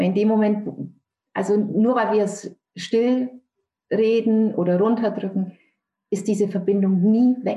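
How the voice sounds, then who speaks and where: A woman of medium pitch speaks at a fairly slow pace with long, frequent pauses and monotone, flat intonation. Her voice is somewhat breathy, with a dark, mellow tone. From Franconia, Germany (Nürnberg). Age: 50s. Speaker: author and bereaved mother. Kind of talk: interview testimony.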